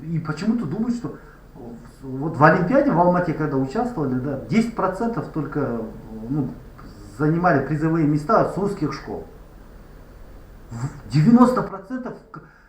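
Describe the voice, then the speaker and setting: A man at a moderate pace with long, frequent pauses, very wide pitch swings and big swings in loudness, amid audible room echo and noticeable background noise. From Kazakhstan, Kostanay. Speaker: language activist vlogger. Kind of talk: street interview.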